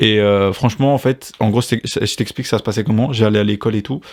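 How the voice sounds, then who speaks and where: A man at medium pitch with ordinary pitch variation, a fairly quick pace, and a normal speaking voice. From France. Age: 20s. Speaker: podcast host. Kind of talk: casual chat.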